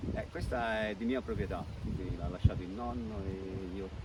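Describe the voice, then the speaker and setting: Against noticeable background noise and audible room echo, a man with a very deep, low pitch speaks at a moderate pace. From Campania, Benevento area (Pietraroia). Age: 60s. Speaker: school caretaker and hobby winegrower. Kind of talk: interview. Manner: halting.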